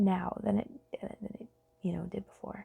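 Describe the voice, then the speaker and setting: Recorded dry and close with no echo, a woman talks. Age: 30s. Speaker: podcast host. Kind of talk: casual monologue. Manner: halting, many fillers.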